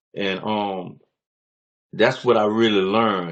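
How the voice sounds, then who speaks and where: Speaking at a fairly slow pace, a man with an American accent uses a fairly low pitch. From New Orleans, Louisiana. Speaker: author and former prisoner. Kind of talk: interview testimony. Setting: video call.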